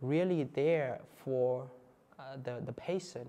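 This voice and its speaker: With a Vietnamese accent, the voice moves at a very slow pace with fairly even intonation and a dark, mellow tone. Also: man. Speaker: Buddhist monk. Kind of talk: talk to an audience. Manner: halting, with fillers and repeats.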